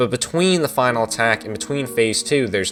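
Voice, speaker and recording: Music plays behind a man speaking at a fairly quick pace. His pitch is medium and his intonation lively. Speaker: video game reviewer. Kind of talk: casual game review talk.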